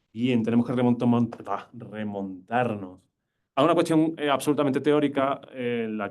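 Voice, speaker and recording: A man with an Andalusian accent and ordinary pitch variation. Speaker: university lecturer. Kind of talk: lecture. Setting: lecture hall with live and online audience. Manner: fast; poor enunciation.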